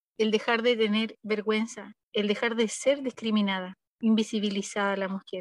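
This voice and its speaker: A woman's fairly high voice in a flat monotone, with a dry, close sound and no echo. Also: moderate pace. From northern Chile, Arica. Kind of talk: interview. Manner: halting, with many repetitions and fillers.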